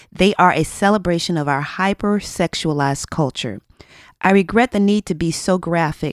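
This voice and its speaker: With a very clean recording, a silent background and a dry, close sound with no echo, a woman in an unremarkable speaking voice talks at a moderate pace, her fairly low pitch carrying lively intonation. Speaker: podcast co-host. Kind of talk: casual chat.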